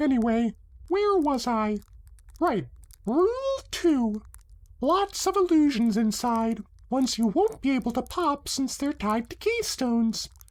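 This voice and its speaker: The speaker uses a put-on character voice at a high pitch. The pace is fairly slow. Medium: read story. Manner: brisk, self-assured.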